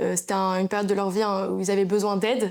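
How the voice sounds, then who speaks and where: A woman at medium pitch speaks at a very fast pace. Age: 20s. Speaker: social media creator. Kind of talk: interview. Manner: casual, hesitant with many fillers.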